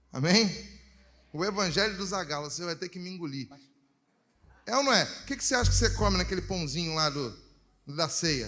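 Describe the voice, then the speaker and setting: In a room with audible echo, a man with a high voice and lively intonation talks at a fairly quick pace, broken by long, frequent pauses. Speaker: reggae gospel singer. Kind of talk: chat between songs at church service.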